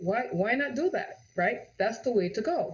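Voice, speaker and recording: An animated tone in a Jamaican accent at a moderate pace. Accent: Jamaican, noticeable. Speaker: real estate agent. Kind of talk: live-streamed sales presentation. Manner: animated, repetitive.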